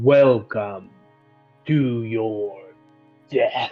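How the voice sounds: Over faint background music, a man puts on a booming character voice at a medium pitch with fairly even intonation.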